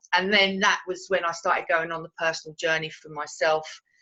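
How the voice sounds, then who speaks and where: In a Cockney accent, a woman with a fairly low pitch and a bright, sharp tone talks at a fairly quick pace with fairly even intonation. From London, England (Cockney). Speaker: Reiki teacher and coach. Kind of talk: interview testimony. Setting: video interview. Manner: halting.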